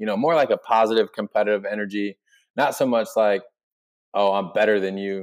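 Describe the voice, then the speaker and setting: Over a quiet background, a man with a plain, everyday voice speaks at a fairly low pitch with fairly even intonation and a fairly quick pace. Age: 20s. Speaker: sports DJ and arena host. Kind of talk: casual chat.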